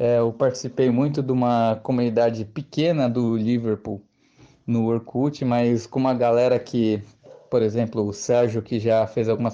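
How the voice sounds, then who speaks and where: A man speaks at a moderate pace in a medium pitch, with a dark, mellow tone. His intonation stays flat and monotone against a quiet background. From Brazil, Santo André (Greater São Paulo). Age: 20s. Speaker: football fan. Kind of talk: recorded testimony.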